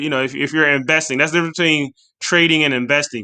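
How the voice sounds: A man's bright, sharp voice, fairly high in pitch, with a clear, smooth tone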